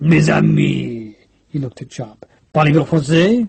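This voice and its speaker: A man's put-on character voice, gravelly and raspy, at a medium pitch. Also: moderate pace. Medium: read story. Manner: jovial, effusive.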